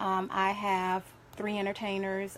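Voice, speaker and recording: A woman with a slight Southern US accent, at a moderate pace and in a flat monotone, over noticeable background noise. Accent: slightly country, Southern US. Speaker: domestic violence survivor advocate and event organizer. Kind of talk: live radio interview. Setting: radio studio.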